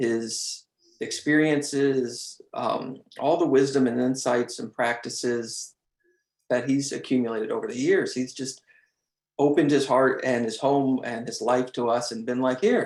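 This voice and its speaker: The delivery comes at a fairly slow pace, in a normal speaking voice. Intonation stays fairly even. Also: man, medium pitch for a man. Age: 30s. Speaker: meditation group member. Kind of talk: testimony.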